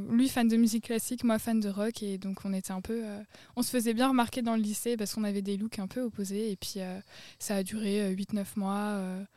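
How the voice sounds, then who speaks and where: A woman speaks at a fairly quick pace and fairly high pitch. Her tone is dark and mellow, her intonation monotone and flat. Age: 20s. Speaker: podcast guest. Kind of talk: casual chat. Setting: outdoors, garden table.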